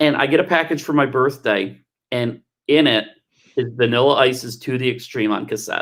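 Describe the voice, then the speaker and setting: This is a man with an unremarkable speaking voice, medium in pitch with ordinary pitch variation. He talks at a moderate pace on a very clean recording with a silent background. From Texas. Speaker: telethon co-host. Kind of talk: casual chat. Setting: livestream.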